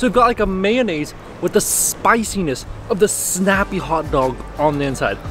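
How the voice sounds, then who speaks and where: Music plays in the background as a man speaks, the sound dry with no echo. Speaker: food vlogger. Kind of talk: casual vlog chat. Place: street. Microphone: phone near.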